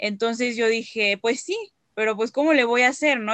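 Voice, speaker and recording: A woman with an ordinary speaking voice talks at a moderate pace, and the sound is dry and close with no echo. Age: 20s. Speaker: descendant promoting Holocaust memory. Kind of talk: interview.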